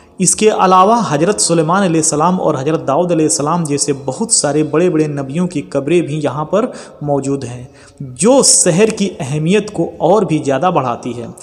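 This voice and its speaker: Lively intonation over music in the background. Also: man, fairly high pitch for a man. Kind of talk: Islamic history narration. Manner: storytelling, addressing audience directly.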